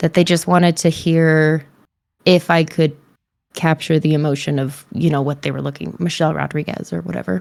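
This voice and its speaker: A quiet woman's voice with very deep, low pitch, ordinary pitch variation and a fairly quick pace. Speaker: voice and mocap actor. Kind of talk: casual interview chat.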